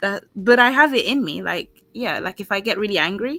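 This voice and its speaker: A woman with a London accent speaks in a high pitch and a bright, sharp tone, the sound dry and close with no echo. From London, Caribbean heritage. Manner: articulates words clearly.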